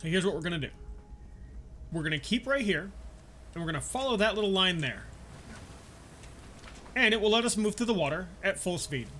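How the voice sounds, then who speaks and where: Projecting in a raised voice, a man with a high pitch and lively intonation leaves long, frequent pauses. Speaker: game guide creator. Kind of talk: video game tutorial voiceover.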